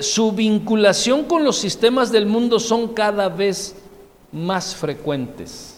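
A man speaks at a very slow pace in a high pitch. Audible room echo and noticeable background noise fill the recording. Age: 30s. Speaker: pastor. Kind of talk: sermon.

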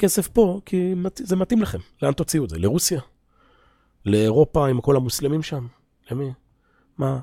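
The speaker's pitch swings very widely at a moderate pace, broken by long, frequent pauses. The sound is dry and close with no echo, on a very clean recording with a silent background. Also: man, fairly high pitch for a man. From Israel. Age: 40s. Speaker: religious teacher. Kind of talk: lecture. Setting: classroom at an institute, recorded for viewers.

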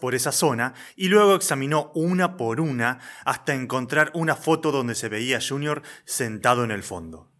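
In a very clean recording with a silent background, a man with a Rioplatense accent speaks at a moderate pace with a fairly high pitch, lively intonation and a bright, sharp tone. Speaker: radio drama narrator. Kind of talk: scripted narration.

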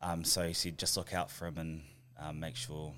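On a very clean recording with a silent background, a man with a New Zealand accent speaks at a fairly quick pace in a very deep, low voice. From New Zealand, Christchurch. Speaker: professional rugby player. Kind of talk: casual interview.

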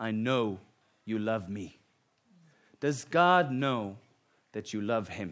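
With a Finnish accent, a man speaks in a bright, sharp tone. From Finland. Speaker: guest preacher. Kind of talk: sermon. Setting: church.

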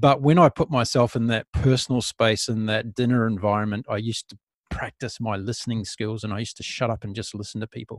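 Speaking at a very fast pace with hardly any pauses, a man with a New Zealand accent keeps a medium pitch and fairly even intonation, the sound dry and close with no echo. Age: 50s. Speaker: podcast host. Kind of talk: interview conversation. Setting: remote call.

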